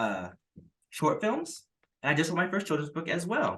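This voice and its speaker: This man's voice has a bright, sharp tone. Vocal fry runs through it. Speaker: artist and entrepreneur. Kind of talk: casual chat. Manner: halting.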